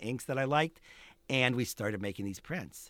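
A normal speaking voice with lively intonation and an American accent, in a very clean recording with a silent background and a dry, close sound with no echo. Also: man. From Pittsburgh, Pennsylvania. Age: 60s. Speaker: photographer. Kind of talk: interview conversation. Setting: studio.

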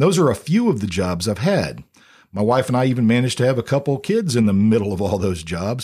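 With a Midwestern American accent, a man talks very fast at a medium pitch in a dark, mellow tone with very wide pitch swings, the recording very clean and the background silent. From US Midwest, Blue Springs near Kansas City, Missouri. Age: 50s. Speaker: podcast host, former radio DJ and teacher. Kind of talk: casual monologue. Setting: home studio.

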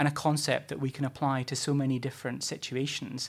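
In a very clean recording with a silent background, a man with a Scottish accent talks at a fairly quick pace in a fairly high pitch. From Scotland, Fife area. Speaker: campaigns manager, former councillor. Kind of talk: interview. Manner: hesitant, many fillers.

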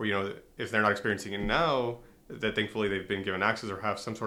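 A man with an American accent speaks very fast in a fairly low voice with a bright, sharp tone and fairly even intonation. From US-Mexico border, southwestern Texas. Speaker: sociology doctoral researcher. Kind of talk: interview.

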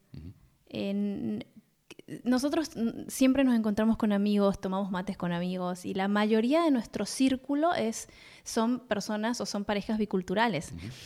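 Her tone dark and mellow, a woman speaks at medium pitch with lively intonation and big swings in loudness. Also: moderate pace, very clean recording, silent background. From Buenos Aires, Argentina. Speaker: podcast co-host. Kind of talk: casual chat between spouses.

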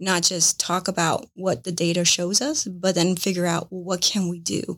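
In an American accent, a woman speaks in an unremarkable speaking voice at a moderate pace. Her pitch is fairly low and her intonation fairly even. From Paraguay and Florida. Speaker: nonprofit CEO and board member. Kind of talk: interview conversation.

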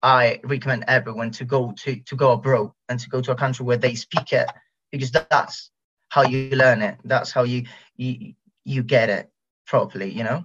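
This speaker talks at a moderate pace with fairly even intonation in a Spanish accent. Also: man. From southern Spain, Costa del Sol. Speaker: former exchange student. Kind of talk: casual interview. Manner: halting, many fillers.

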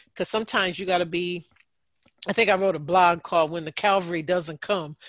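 A woman with a normal speaking voice talks at a fairly low pitch with fairly even intonation. The recording is dry and close with no echo, over a quiet background. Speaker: podcast host, mental health counselor. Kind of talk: casual group chat. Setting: video call.

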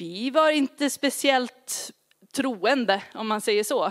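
Someone speaks with an English accent at a very slow pace in a very clean recording with a silent background and a dry, close sound with no echo. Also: woman. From grew up partly in Asia in a missionary family. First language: English (speaking Swedish). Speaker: pastor. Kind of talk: sermon.

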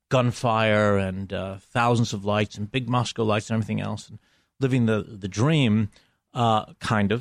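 A man's normal speaking voice, fairly low in pitch, with fairly even intonation and a moderate pace, on a very clean recording with a silent background. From Buffalo, New York, US. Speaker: cinematographer and director. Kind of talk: interview.

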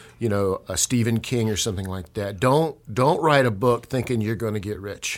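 Speaking at a moderate pace, this man has a medium-pitched voice whose pitch varies in an ordinary way. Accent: Southern US. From Georgia, US South. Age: 60s. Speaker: local author. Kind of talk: casual chat.

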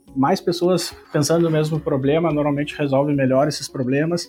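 Fairly high in pitch, a man speaks with monotone, flat intonation. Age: 30s. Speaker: software specialist. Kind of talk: casual interview.

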